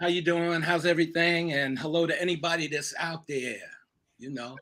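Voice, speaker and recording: With an American accent, a man talks at a moderate pace in a high pitch, his tone bright and sharp and his intonation fairly even. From New York (Harlem). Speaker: acting coach. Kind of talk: interview. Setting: live stream.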